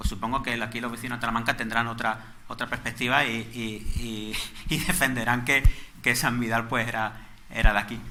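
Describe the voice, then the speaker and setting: A man with a Málaga accent speaks at a moderate pace and medium pitch, his tone bright and sharp, with audible room echo around him. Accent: Málaga (Andalusian). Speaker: lecturer on local history. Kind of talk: lecture. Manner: halting, with frequent repetitions.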